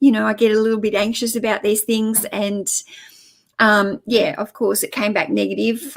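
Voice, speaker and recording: A fairly high-pitched woman's voice with an Australian accent, on a very clean recording against a silent background. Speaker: online reseller and YouTuber. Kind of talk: live stream chat. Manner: casual, chatty with fillers.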